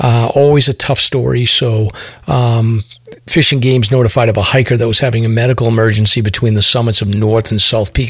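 Over noticeable background noise, a man speaks at a medium pitch. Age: 50s. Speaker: podcast host. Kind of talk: casual chat.

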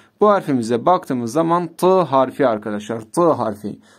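The voice carries lively intonation against a quiet background. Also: man. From Turkey. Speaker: Arabic teacher. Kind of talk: tutorial. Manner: slow. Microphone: phone near.

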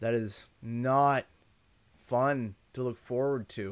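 Very slow speech in a Canadian accent with fairly even intonation, over a quiet background. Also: man. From Canada. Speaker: gaming streamer. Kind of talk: livestream chat. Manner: repetitive, thinking aloud. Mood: earnest, apologetic, reflective. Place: home room. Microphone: studio mic.

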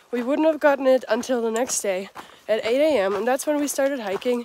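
A woman talks at a moderate pace, her voice dry with no echo over light background noise. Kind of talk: casual vlog chat. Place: open country. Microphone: phone near.

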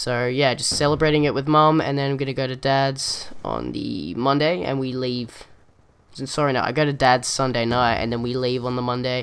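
With an Australian accent, a man speaks at medium pitch with fairly even intonation. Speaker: gaming YouTuber. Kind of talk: gameplay commentary vlog. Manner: fast talker.

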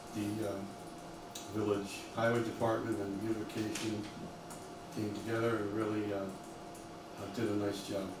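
A man speaks at a moderate pace in a fairly low pitch, with little pitch movement. Long, frequent pauses break his speech, and background noise is clear.

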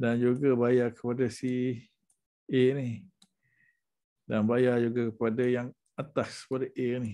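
Delivery is very slow and monotone, with flat intonation and long, frequent pauses. The tone is dark and mellow over a quiet background. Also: man. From Malaysia. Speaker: education sales consultant. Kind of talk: sales pitch. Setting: screen-share presentation. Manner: casual, with fillers. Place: home room. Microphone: webcam.

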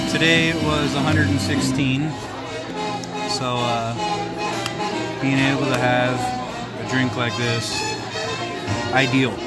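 Loud music plays in the background. The speech moves at a very slow pace with long, frequent pauses. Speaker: gambling vlogger. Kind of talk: casual vlog chat. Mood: relaxed, upbeat. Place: bar. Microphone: phone near.

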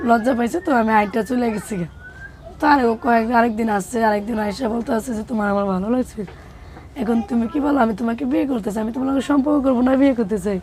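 With noticeable background noise around her, a woman speaks at a fairly high pitch with ordinary pitch variation. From Bangladesh, Habiganj. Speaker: interviewee, single mother. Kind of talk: personal testimony interview. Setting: on location in Dhaka, Moghbazar. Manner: soft-spoken.

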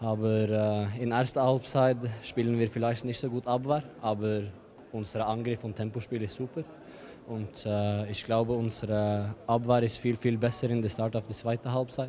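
Light background noise sits behind a man speaking at a moderate pace in a monotone, flat intonation at medium pitch. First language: not German (speaking German). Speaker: professional handball player; guest. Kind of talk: post-match interview. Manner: halting; calm. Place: hall. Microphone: handheld.

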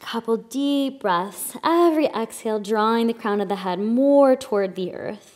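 A woman speaks fairly high in a calm, soothing tone with ordinary pitch variation and hardly any pauses. The background is quiet. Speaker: yoga instructor. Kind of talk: guided yoga instruction, breath-cued flow. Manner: calm, soothing, slow breath-paced cues; gentle, reflective and encouraging. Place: studio.

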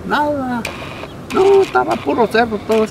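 A man speaks at a moderate pace in a high pitch with lively intonation, in a dry sound with no echo and noticeable background noise. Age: 70s. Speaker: retired heavy machine operator. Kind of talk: interview answer. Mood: warm, reminiscing, amused. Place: open country.

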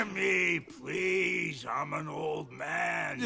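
A man puts on a gravelly character voice. Background noise is clearly heard. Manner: pleading.

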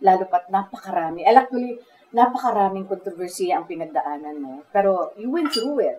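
With a normal speaking voice, a woman talks at a fairly quick pace at medium pitch, her intonation lively and her loudness swinging widely, over light background noise. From Philippines. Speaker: talk show host. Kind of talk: interview. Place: cafe.

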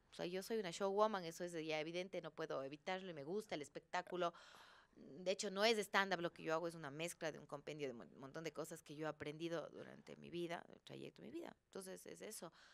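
A woman speaks very fast with a Cuenca Ecuadorian accent, at a fairly low pitch with ordinary pitch variation. Her voice has vocal fry and big swings in loudness. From Ecuador, Cuenca. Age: 40s. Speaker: actress. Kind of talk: casual chat. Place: studio. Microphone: studio mic.

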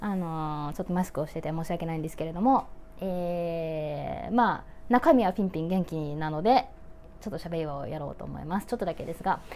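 A woman's fairly low, dark, mellow voice at a fairly quick pace with ordinary pitch variation over light background noise. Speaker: YouTuber, model and actress. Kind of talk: casual talk to camera. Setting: speaking through a face mask. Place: home room. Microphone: phone near.

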